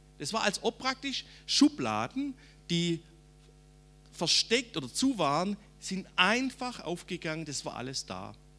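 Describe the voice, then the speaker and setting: Over music in the background, a man speaks at a high pitch and fairly slow pace, with very wide pitch swings, big swings in loudness, and long, frequent pauses. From Swabia, southern Germany (Rems valley). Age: 50s. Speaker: preacher. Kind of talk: testimony.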